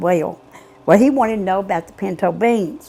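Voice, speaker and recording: Speaking in an Appalachian accent at a moderate pace, a woman has a dark, mellow tone and lively intonation. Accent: Appalachian Southern US. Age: 70s. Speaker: mother of missing men. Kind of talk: interview testimony. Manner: halting.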